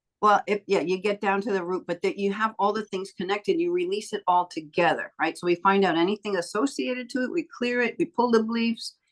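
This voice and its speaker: Lively in intonation, a woman at a medium pitch speaks at a fairly quick pace in a dry, close sound with no echo. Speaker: energy healer and coach. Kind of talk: interview. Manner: fast; animated.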